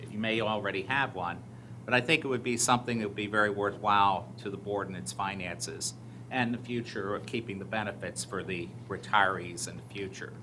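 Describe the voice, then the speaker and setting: A man speaks in a fairly low pitch with an ordinary speaking voice. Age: 60s. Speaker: audit committee member presenting to school board. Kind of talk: formal report at board meeting.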